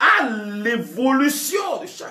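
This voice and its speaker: Raising and projecting his voice, a man speaks with a Togolese accent. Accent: West African French (Togolese). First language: a Togolese language (speaking French). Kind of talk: sermon. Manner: halting, with many repetitions.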